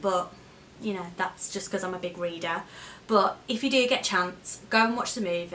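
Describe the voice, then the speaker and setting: There is noticeable background noise. The talking keeps a moderate pace. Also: woman. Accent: West Midlands. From Wolverhampton, England. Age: 30s. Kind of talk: casual talk to camera.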